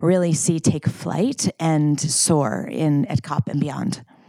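A woman with a very deep, low pitch uses ordinary pitch variation over noticeable background noise. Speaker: climate finance retreat organizer. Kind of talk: casual chat. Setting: country house retreat in Scotland.

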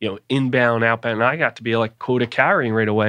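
A man with an American accent and a plain, everyday voice, medium in pitch with fairly even intonation, in a dry, close sound with no echo against a quiet background. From US Northeast, Philadelphia. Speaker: sales executive. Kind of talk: interview conversation.

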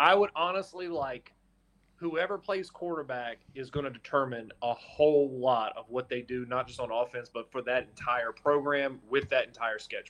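A man with an American accent and an unremarkable speaking voice, medium pitch, ordinary pitch variation and a moderate pace. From North Carolina. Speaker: sports reporter. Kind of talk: casual chat.

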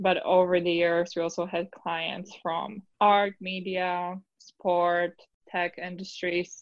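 A woman speaks very slowly at a medium pitch with a Polish accent. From Poland. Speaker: lawyer. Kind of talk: interview.

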